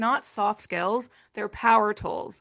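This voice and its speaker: The tone is bright and sharp, with an Arkansas accent. The background is quiet. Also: woman. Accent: Arkansas Southern US. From Arkansas, US South. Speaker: nonprofit executive director, former utility communicator. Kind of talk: video-call interview.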